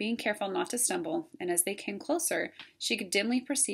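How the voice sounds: Heard here is a natural reading voice.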